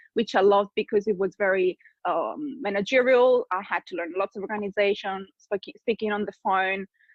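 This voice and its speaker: A woman with an Italian accent, medium pitch, fairly even intonation, and a fairly quick pace. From Italy, small city. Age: 30s. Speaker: business coach. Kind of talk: podcast interview.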